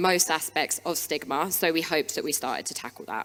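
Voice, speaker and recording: A woman speaks very fast in a fairly low pitch. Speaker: wellbeing practitioner. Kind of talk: conference talk. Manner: hesitant, many fillers.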